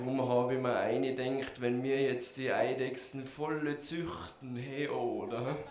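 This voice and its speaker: Man at a medium pitch with fairly even intonation and a very slow pace, over noticeable background noise. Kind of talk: slam poetry performance, dialogue skit.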